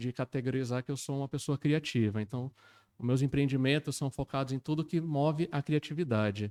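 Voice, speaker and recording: Dark and mellow in tone, a man's fairly high voice moves at a fairly quick pace with ordinary pitch variation, the sound dry and close with no echo on a very clean recording with a silent background. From Manaus, Amazonas, Brazil (born São Paulo). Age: 40s. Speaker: entrepreneur. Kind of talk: casual interview chat.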